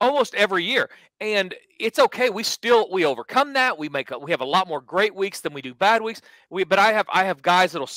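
A man speaks in a raised, projected voice with a bright, sharp tone, at a fairly quick pace with lively intonation. The sound is dry with no echo, and the background is quiet. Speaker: sports betting show host. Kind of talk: podcast commentary. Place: home room. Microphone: headset.

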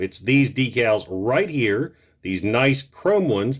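A man at a fairly slow pace, with very wide pitch swings, against a quiet background. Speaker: toy reviewer. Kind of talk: casual product review to camera. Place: home room.

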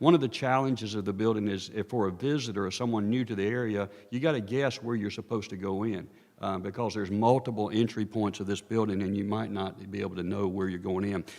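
The speaker talks at a very fast pace with a North Carolina accent. There are hardly any pauses. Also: man, fairly low pitch for a man. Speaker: architect consultant presenting a study. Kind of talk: presentation to town council. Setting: town council meeting.

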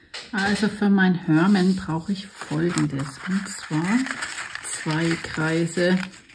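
A woman with fairly low pitch and fairly even intonation speaks at a very slow pace over noticeable background noise. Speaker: craft video host. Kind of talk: tutorial. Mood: friendly, cheerful. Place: home room. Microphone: phone near.

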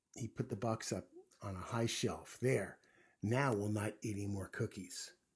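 The intonation stays fairly even in this plain reading aloud.

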